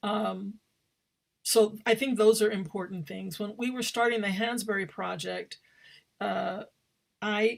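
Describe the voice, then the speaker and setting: A woman with vocal fry speaks at a fairly high pitch and fairly slow pace with fairly even intonation, big swings in loudness, and long, frequent pauses. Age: 60s. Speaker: theater director and professor. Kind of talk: panel talk. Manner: halting.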